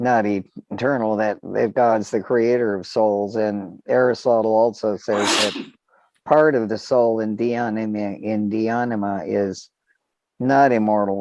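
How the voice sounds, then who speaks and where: The delivery is fairly slow, with fairly even intonation. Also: man, fairly low pitch for a man. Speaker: lecturer. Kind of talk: lecture. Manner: halting.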